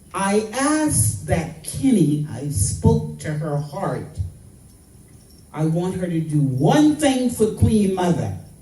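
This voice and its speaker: A woman speaks very slowly with a dark, mellow tone, vocal fry and very wide pitch swings. Audible room echo surrounds her voice. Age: 80s+. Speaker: activist. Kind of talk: public speech. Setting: royal palace event. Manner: impassioned.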